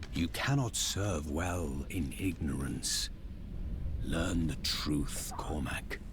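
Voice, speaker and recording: A man puts on a character voice, very deep and low, speaking at a very slow pace. Loud background noise runs underneath. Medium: short film. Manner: calm, measured, detached.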